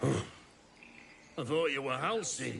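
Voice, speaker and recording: Someone performs a put-on character voice with clear background noise behind it. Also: man, medium pitch for a man. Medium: machinima.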